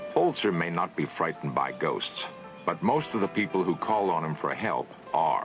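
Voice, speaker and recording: A man speaks fairly low at a moderate pace, his pitch swinging very widely. Music plays in the background. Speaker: documentary narrator. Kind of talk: documentary narration. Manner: calm.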